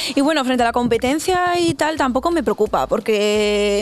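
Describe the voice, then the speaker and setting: With music in the background, a woman speaks in a fairly high pitch with ordinary pitch variation. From northern Spain, Burgos province. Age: young. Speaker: R&B singer. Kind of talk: interview.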